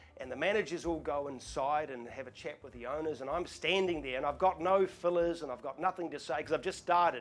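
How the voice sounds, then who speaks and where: The speech comes at a very fast pace with hardly any pauses, big swings in loudness and ordinary pitch variation. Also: man, fairly high pitch for a man. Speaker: auctioneer. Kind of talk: casual talk to camera, Q&A. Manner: relaxed, chatty, storytelling.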